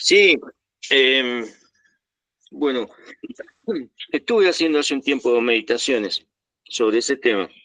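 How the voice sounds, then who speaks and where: A bright, sharp tone at a fairly slow pace with long, frequent pauses and ordinary pitch variation, in a dry, close sound with no echo. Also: man, medium pitch for a man. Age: 60s. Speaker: meditation group participant. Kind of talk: personal sharing. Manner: halting.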